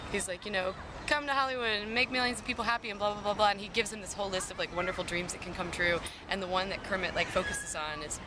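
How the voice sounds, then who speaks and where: A woman at a medium pitch, very fast pace and ordinary pitch variation, with big swings in loudness, noticeable background noise and audible room echo. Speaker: singer-songwriter. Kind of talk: casual interview. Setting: outdoors in a park playground.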